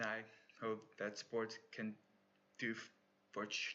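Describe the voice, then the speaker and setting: Here is a man talking. His pitch is fairly low. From South Africa. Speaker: university applicant and competitive swimmer. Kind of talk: application video monologue. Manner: halting.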